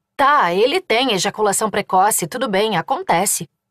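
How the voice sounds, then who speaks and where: A woman's animated, furious tone at a fairly slow pace, in a dry, close sound with no echo. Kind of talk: audiobook narration, dramatized first-person fiction. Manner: animated, emotional, shifting from furious shouting to comic, teasing dialogue.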